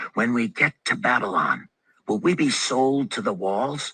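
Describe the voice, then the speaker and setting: Using a put-on character voice, a man growls at a medium pitch with very wide pitch swings. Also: moderate pace, dry, close sound with no echo. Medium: read story.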